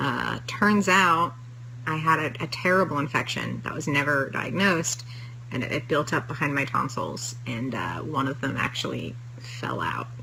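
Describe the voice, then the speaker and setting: A woman speaks with a very deep, low pitch. Audible room echo and noticeable background noise surround her voice. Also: ordinary pitch variation, moderate pace. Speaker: TV writer. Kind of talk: casual chat. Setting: live stream. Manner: halting.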